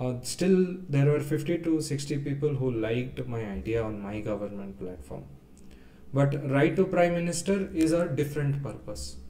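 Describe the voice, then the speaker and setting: A man with a South Indian accent speaks at a moderate pace and a fairly high pitch. His intonation is lively, and the room has audible echo. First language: Kannada. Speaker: data engineer presenting a tax reform idea. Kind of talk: webinar presentation. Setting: live webinar. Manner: hesitant, many fillers.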